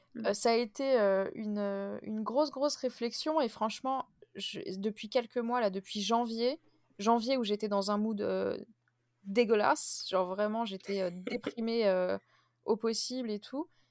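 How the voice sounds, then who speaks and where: A woman speaks at a fairly slow pace with long, frequent pauses. Her pitch is fairly high, with ordinary pitch variation. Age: 20s. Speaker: podcast host. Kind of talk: casual chat.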